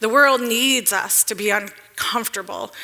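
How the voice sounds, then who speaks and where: A woman with an American accent speaks at a moderate pace and a fairly high pitch. Her tone is bright and sharp, with ordinary pitch variation. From Detroit, US Midwest. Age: 40s. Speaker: economic developer, speaker. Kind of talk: public talk.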